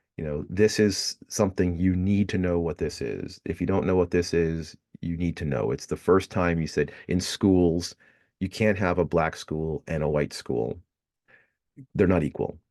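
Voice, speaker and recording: A man with a very deep, low pitch and a dark, mellow tone, ordinary pitch variation, and a moderate pace, recorded dry and close with no echo against a quiet background. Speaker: history professor. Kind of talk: recorded lecture. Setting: recorded video lecture with slides. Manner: hesitant, many fillers.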